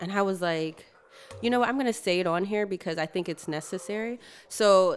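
A woman speaks with a normal speaking voice in a medium register. Her pace is moderate, and her pitch varies in an ordinary way. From New York, then Georgia. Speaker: architect and studio founder. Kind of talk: interview.

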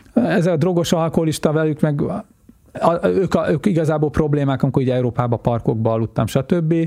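With a fairly high pitch, a dark, mellow tone and lively intonation, a man speaks at a fairly quick pace and very even loudness. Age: 50s. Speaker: world traveler. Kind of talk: interview. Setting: studio.

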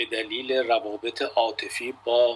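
A man is speaking, and noticeable background noise can be heard. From Iran. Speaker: journalist. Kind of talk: casual chat.

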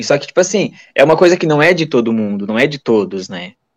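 Sweeping up and down across a very wide range, a man's pitch keeps shifting as he speaks. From Santa Catarina, Brazil (Tijucas). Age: 20s. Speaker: lab technician. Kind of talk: casual interview. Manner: halting, many repetitions.

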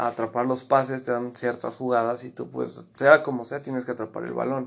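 Over a quiet background, a man speaks at a moderate pace and medium pitch with monotone, flat intonation. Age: 20s. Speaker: former American football player. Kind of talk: interview.

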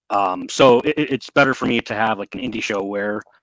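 At a moderate pace, a man with a fairly low pitch speaks in a bright, sharp tone, the sound dry and close with no echo. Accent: American. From Michigan, US. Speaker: wrestling podcast co-host. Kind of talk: casual chat.

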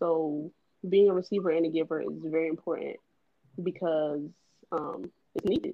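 At a moderate pace, a woman with a fairly low pitch talks in a monotone, flat intonation, leaving long, frequent pauses. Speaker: podcast co-host. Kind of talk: casual group discussion, faith-based.

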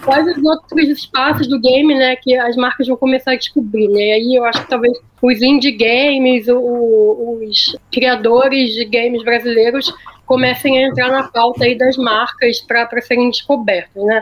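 Amid noticeable background noise, a woman speaks at a fairly slow pace and high pitch with hardly any pauses, very even loudness and fairly even intonation. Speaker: agency planning director. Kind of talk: casual chat. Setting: remote call from Austin, Texas.

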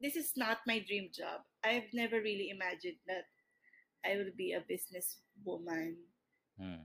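A woman with a medium pitch and vocal fry speaks with long, frequent pauses. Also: ordinary pitch variation, moderate pace. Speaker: podcast co-host, entrepreneur. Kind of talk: casual chat. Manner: talkative. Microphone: built-in laptop microphone.

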